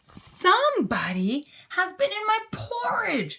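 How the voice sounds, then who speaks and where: A woman's raspy, put-on character voice at an extremely high pitch and a fairly slow pace. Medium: read story. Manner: gruff, booming.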